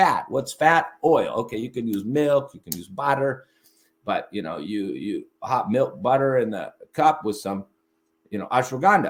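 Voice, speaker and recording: An animated man speaks with vocal fry and big swings in loudness. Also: medium pitch for a man, moderate pace. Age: 60s. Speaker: Ayurvedic herbalist. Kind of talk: lecture. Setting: live stream. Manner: halting.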